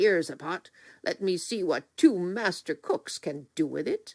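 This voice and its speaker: Very cleanly recorded against a silent background, a put-on growling character voice that sounds female speaks at a middle pitch and a moderate pace. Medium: read story. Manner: jolly.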